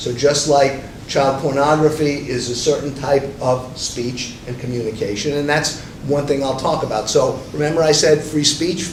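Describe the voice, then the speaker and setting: With noticeable background noise and audible room echo, a man talks at a moderate pace in a fairly high voice with fairly even intonation. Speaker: media lawyer panelist. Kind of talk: panel presentation.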